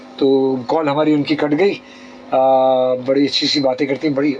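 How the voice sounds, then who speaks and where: Fairly high pitch for a man, a fairly slow pace, and music in the background. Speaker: radio host. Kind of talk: call-in radio talk show. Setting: radio studio.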